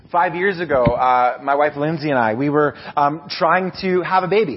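The pace is moderate. Noticeable background noise is present. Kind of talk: sermon. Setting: church. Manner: informal, hesitant with filler words.

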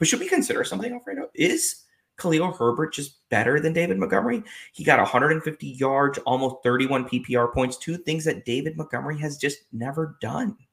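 With vocal fry and very wide pitch swings, a man talks at a very fast pace in a fairly high pitch. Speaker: fantasy football co-host, doctor. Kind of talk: casual sports chat.

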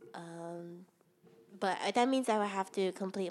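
A Hawaiian accent at a moderate pace. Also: woman. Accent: Hawaii local English. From Hawaii, Ewa Beach on Oahu. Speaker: podcast co-host. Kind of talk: casual chat.

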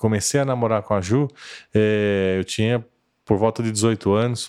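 A man with an unremarkable speaking voice talks fairly slowly, his medium pitch and intonation both staying fairly even. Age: 50s. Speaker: church lay leader. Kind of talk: casual interview.

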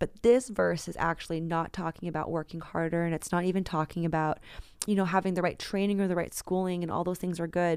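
A woman at a very fast pace with fairly even intonation, in a very clean recording with a silent background. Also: fairly low pitch for a woman. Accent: American. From San Francisco, US West Coast. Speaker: pastor, author and spoken word artist. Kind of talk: interview conversation.

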